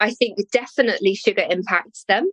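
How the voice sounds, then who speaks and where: In an English accent, a woman speaks at a moderate pace, the sound dry and close with no echo. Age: 50s. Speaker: nutritional therapist. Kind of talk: interview.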